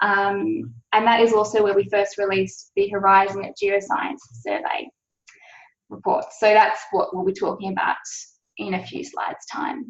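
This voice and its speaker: Speaking at a moderate pace in an Australian accent, a woman with medium pitch uses lively intonation. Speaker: science policy officer. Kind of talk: webinar presentation. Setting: online webinar. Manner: frequent filler 'um'.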